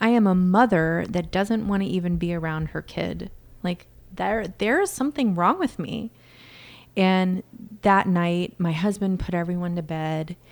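With an ordinary speaking voice, a woman talks at a fairly slow pace, with a fairly low pitch and ordinary pitch variation. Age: 40s. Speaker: inner voice coach and speaker. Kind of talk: casual interview conversation.

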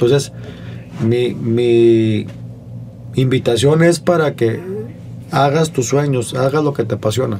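At a very slow pace, a man with a medium pitch talks at very even loudness, with ordinary pitch variation and long, frequent pauses. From Monterrey, northern Mexico. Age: 40s. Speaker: comedian. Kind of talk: casual chat.

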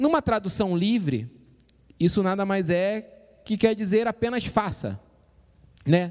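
A man with a Brazilian accent talks in an animated tone at a fairly slow pace. His pitch is high. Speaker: church youth podcast host. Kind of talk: casual chat. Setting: live stream.

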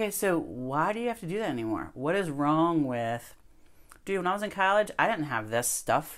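On a very clean recording with a silent background, a woman speaks at a fairly quick pace. She has a normal speaking voice, fairly low in pitch, with an American accent. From US Mid-Atlantic (Ocean City, Maryland). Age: 40s. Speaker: elementary school teacher. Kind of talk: casual chat.

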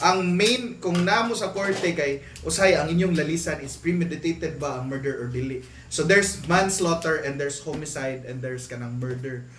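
A man with a Visayan Filipino accent talks at a fairly quick pace with hardly any pauses, his fairly high voice full of lively intonation. Noticeable background noise and audible room echo surround him. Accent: Filipino (Cebuano) English. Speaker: podcast guest. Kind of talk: casual chat.

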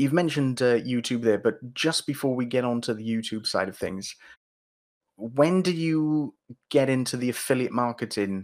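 At a moderate pace, a man speaks in an ordinary speaking voice at a medium pitch. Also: ordinary pitch variation. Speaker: podcast host. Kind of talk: casual interview chat.

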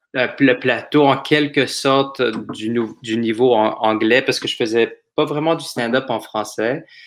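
Here is a man with a normal speaking voice at medium pitch. He talks at a fairly slow pace with fairly even intonation. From Montreal, Quebec. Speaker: comedian. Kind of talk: casual chat.

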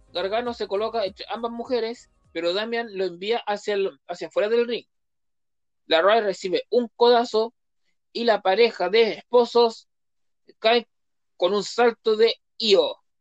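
Speaking at a fairly slow pace, a woman leaves long, frequent pauses. Her fairly high voice has fairly even intonation and a dry, close sound with no echo. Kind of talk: wrestling results recap read aloud, match-by-match summary.

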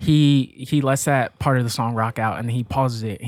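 Speaking at a moderate pace, a man has a plain, everyday voice at a medium pitch. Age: 20s. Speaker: podcast guest, host's brother. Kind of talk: casual chat.

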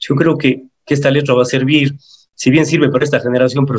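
A man's somewhat breathy voice at a medium pitch. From Ecuador. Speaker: singer and psychologist. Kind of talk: interview.

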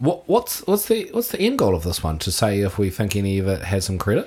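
A somewhat breathy male voice with a New Zealand accent. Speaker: podcast co-host. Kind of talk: casual banter chat.

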